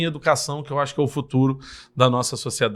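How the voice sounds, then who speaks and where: Very fast speech from a man at a medium pitch, on a very clean recording with a silent background. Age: 30s. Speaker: politician, mayoral candidate. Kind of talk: podcast interview, campaign self-presentation.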